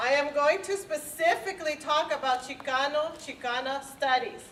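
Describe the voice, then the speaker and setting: A high-pitched woman's voice with a Spanish accent, at a moderate pace with ordinary pitch variation. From Los Angeles, Mexican-born. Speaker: department chair. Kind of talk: formal speech.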